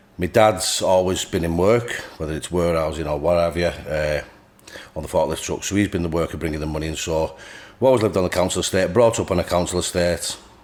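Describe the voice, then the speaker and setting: Noticeable background noise sits behind a man speaking at a very fast pace with very deep, low pitch and ordinary pitch variation. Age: 30s. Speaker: bodybuilder. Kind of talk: podcast interview.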